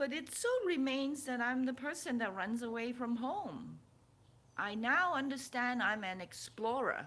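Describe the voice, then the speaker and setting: Fairly slow, high-pitched speech from a woman with a bright, sharp tone and audible room echo. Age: 60s. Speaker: spiritual vlogger and author. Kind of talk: casual personal vlog. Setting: at home. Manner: halting, with many repeats.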